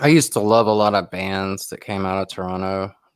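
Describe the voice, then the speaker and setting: A man with a Southern US accent talks at a moderate pace and a fairly low pitch. The recording is very clean, with a silent background. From US South, South Carolina. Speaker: YouTuber live streamer. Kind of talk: casual chat on a livestream.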